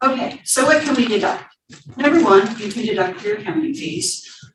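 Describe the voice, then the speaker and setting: There is audible room echo around the woman speaking. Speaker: accountant and attorney giving a tax talk. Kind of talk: seminar presentation.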